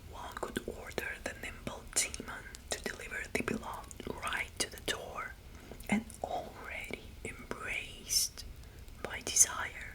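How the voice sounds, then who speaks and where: Amid noticeable background noise, the words come as a fairly slow whisper. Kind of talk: whispered ASMR mythology talk. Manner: whispered; soothing, friendly.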